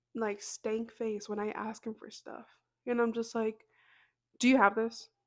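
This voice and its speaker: Soft-spoken and fairly high in pitch, a woman talks at a moderate pace. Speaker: podcast host. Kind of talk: casual chat. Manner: casual.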